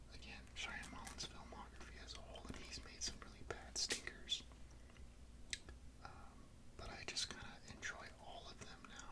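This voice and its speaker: Whispering at a moderate pace, a man leaves long, frequent pauses over noticeable background noise. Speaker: ASMR creator. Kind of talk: casual movie review rant. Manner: whispered.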